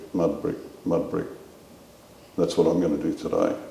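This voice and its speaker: Speaking at a fairly quick pace, a man with an Australian accent is heard with audible room echo. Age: 70s. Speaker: war veteran. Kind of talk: interview.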